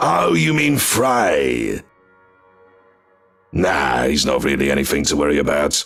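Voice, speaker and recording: A put-on character voice moves at a fairly slow pace with very even loudness. There are long, frequent pauses and faint music in the background. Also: man, very deep, low pitch for a man. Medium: audio drama. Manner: gruff, crude, defensive.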